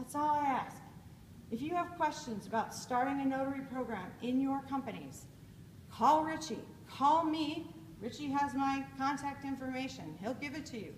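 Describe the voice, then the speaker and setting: A woman speaks loudly at a high pitch with ordinary pitch variation, and audible room echo surrounds her voice. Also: moderate pace. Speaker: conference speaker. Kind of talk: keynote speech. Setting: stage with audience. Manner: animated.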